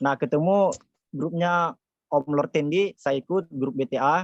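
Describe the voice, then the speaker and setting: The speaker is a man with a fairly high pitch. His intonation shows ordinary pitch variation. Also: dry, close sound with no echo. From South Sulawesi, Jeneponto. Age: 20s. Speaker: TikTok affiliate mentor. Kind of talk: webinar presentation. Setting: online webinar.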